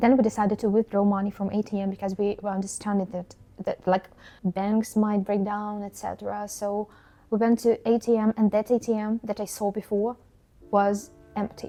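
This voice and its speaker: A woman speaks at a moderate pace and medium pitch, her tone dark and mellow. Her intonation stays flat and monotone. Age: 20s. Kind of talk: personal story to camera.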